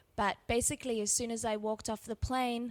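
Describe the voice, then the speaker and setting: In an Australian accent, a woman speaks with monotone, flat intonation. The recording is very clean with a silent background, and the sound is dry and close with no echo. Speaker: refugee aid worker. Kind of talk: interview.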